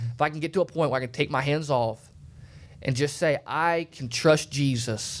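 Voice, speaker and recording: A man speaks in a plain, everyday voice at medium pitch with fairly even intonation. The recording is very clean, with a silent background. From Alabama, US South. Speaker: preacher. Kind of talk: sermon. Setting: studio.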